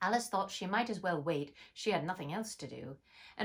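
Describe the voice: The delivery is plain reading aloud. Its intonation rises and falls in a lively way.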